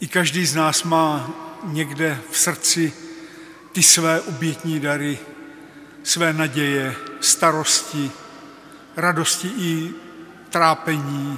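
Light background noise sits behind a man who talks with fairly even intonation and long, frequent pauses. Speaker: presiding bishop. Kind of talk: liturgical address. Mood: solemn, calm. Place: church.

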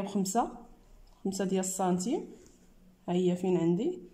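Somewhat breathy female speech, dark and mellow in tone. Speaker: sewing teacher. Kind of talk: tutorial. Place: workshop. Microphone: phone near.

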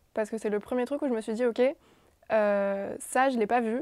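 A dark, mellow voice at a moderate pace with fairly even intonation, dry with no echo, over a quiet background. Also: woman. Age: 20s. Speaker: physiotherapy student intern. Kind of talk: casual chat. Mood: calm, reflective. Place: office. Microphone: lapel.

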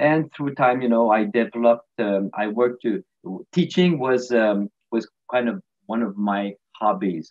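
A medium-pitched man at a moderate pace, lively intonation and long, frequent pauses, against a quiet background. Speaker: retired physiotherapist. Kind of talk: interview. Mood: warm, laughing. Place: home room. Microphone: webcam.

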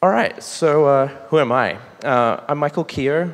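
A man with an Australian accent talks with ordinary pitch variation. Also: quiet background. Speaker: site reliability engineer. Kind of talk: conference talk. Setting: stage with audience. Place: hall. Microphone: podium.

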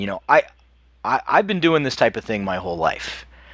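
A man's voice with a bright, sharp tone. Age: 50s. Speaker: podcast host, retired army doctor. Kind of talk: casual chat.

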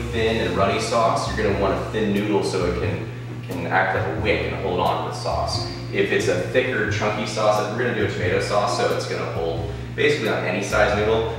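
Backed by music and strong room echo, a man speaks at a fairly quick pace. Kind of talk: tutorial. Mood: relaxed and friendly. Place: kitchen. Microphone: camera far.

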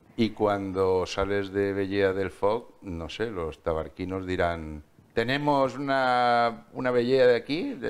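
A man's fairly low voice at a very slow pace, with hardly any pauses. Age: 50s. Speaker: TV interviewer. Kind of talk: TV interview. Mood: warm, jovial. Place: studio.

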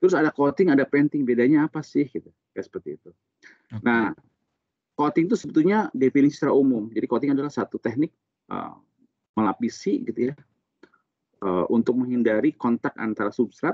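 At a very fast pace yet with long, frequent pauses, a man with a strong Sundanese accent speaks with lively intonation and big swings in loudness, the sound dry with no echo against a quiet background. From Sukabumi, West Java, Indonesia; West Java, Indonesia. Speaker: coating technical expert and instructor; instructor. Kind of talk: technical interview. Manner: casual, explanatory. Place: office. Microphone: video call.

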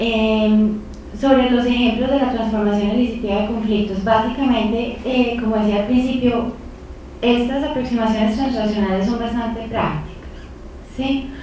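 A woman speaks in a fairly high, flat monotone. The room echoes strongly, and light background noise is present. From Colombia, Medellín. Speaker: peace studies professor; lecturer. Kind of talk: lecture. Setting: lecture hall with audience. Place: meeting room.

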